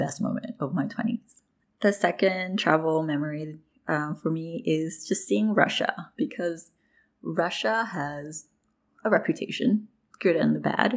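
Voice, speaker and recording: A woman speaks at a fairly slow pace with a very deep, low pitch. Her delivery has vocal fry and lively intonation. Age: 20s. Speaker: solo podcaster. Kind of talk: personal reflective monologue.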